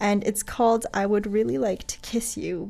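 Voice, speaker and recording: A woman at a medium pitch talks with vocal fry. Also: quiet background. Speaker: radio host. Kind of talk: radio DJ patter, friendly on-air show sign-off. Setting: radio studio broadcast. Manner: relaxed, chatty, casual.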